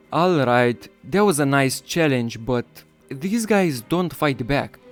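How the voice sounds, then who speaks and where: A man at a very slow pace and medium pitch, with music in the background. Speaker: gaming YouTuber. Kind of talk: excited gameplay commentary. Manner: loud, excitable.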